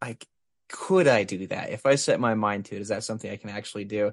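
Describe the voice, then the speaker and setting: In a plain, everyday voice, a man speaks at a moderate pace with lively intonation, the sound dry and close with no echo over a quiet background. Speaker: interviewer. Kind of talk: casual chat.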